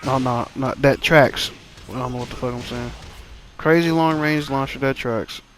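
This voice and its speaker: Over noticeable background noise, a man talks at a moderate pace and medium pitch, his intonation fairly even while his loudness swings widely. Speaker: gaming streamer. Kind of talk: gameplay commentary. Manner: stutters at times.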